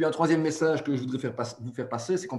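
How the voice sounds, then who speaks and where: This man sounds somewhat breathy, and his pitch varies in an ordinary way. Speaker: webinar moderator. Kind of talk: webinar introduction. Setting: webinar.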